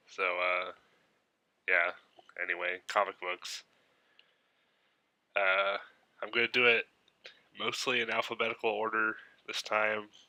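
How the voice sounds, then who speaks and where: Bright, sharp tone from a man, fairly slow and fairly even in intonation, with long, frequent pauses. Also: fairly low pitch for a man. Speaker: comic book YouTuber. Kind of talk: casual haul video monologue. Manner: casual with many fillers.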